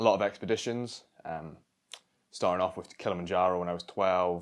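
This man's voice is very deep and low, with fairly even intonation. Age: 20s. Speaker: skydiving coach. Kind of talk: interview.

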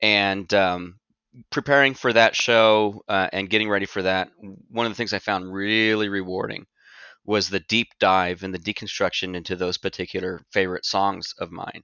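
Fairly even intonation from a man at a fairly low pitch, moving at a moderate pace. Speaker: musician and event organizer. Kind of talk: podcast interview.

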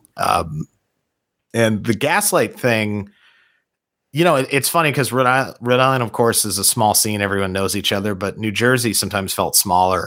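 A man at a moderate pace, a normal speaking voice with ordinary pitch variation, on a very clean recording with a silent background. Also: fairly low pitch for a man. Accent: American. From Orlando, Florida. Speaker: punk musician. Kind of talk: casual chat.

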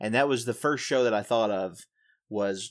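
Over a very clean recording with a silent background, a man with a Southern US accent speaks at medium pitch and a moderate pace with ordinary pitch variation. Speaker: podcast co-host. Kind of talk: casual interview.

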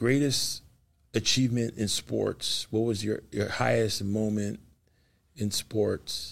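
With an American accent, a man speaks at a fairly slow pace. His fairly low pitch shows ordinary pitch variation. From Los Angeles. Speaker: pastor and podcast host. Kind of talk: faith interview. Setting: studio. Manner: animated.

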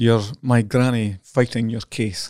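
Speaking in a Scottish accent, a man has a medium pitch and a dark, mellow tone. His delivery is fairly slow with fairly even intonation, in a dry, close sound with no echo. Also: very clean recording, silent background. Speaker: journalist. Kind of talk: casual chat.

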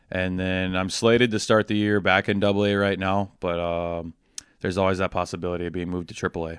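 Against a quiet background, a man with an Upper Midwest accent speaks very fast in a very deep, low pitch with monotone, flat intonation. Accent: Upper Midwest American. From Wisconsin (Waupun). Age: 20s. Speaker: baseball umpire and hockey coach. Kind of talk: interview.

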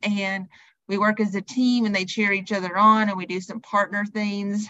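A woman speaks with a Southern US accent. Her medium-pitched voice is monotone, with flat intonation. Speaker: personal trainer and wellness coach. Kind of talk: podcast interview.

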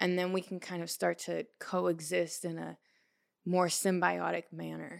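A woman with an American accent speaks at a fairly slow pace on a very clean recording with a silent background. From Portland, Oregon. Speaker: podcaster. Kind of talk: casual chat.

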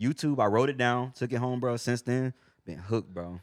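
Recorded very cleanly against a silent background, a man with an ordinary speaking voice talks fairly quickly at medium pitch. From Texas, San Antonio and Houston. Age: 20s. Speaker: rapper. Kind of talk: casual chat.

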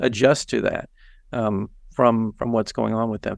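A man with an ordinary speaking voice, medium pitch, and a moderate pace against a quiet background. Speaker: massage therapy educator. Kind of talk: casual expert conversation.

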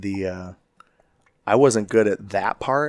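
A man with a fairly low voice speaks in a dry, close recording with no echo. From Chicago. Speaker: fire division chief. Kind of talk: casual interview chat. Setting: in person at a conference.

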